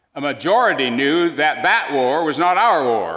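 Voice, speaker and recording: A man with an American accent talks with lively intonation and a bright, sharp tone. There is audible room echo. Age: 80s+. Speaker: retired minister, guest preacher. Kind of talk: sermon. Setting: church.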